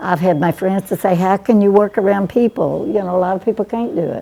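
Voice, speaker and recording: A woman speaks at a fairly quick pace in a dark, mellow tone at a medium pitch. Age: 90s. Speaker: fast food worker. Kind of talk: interview testimony.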